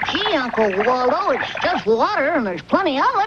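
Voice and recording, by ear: In a cartoonish character voice, the speaker talks high and at a fairly quick pace with very wide pitch swings, over loud background noise.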